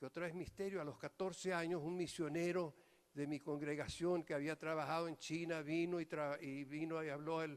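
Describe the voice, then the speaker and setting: Speaking in a monotone, flat intonation, a man with a fairly high pitch keeps a moderate pace. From New York, Venezuelan immigrant parents; raised between Venezuela and US. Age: 80s+. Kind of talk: homily. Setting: priests' retreat.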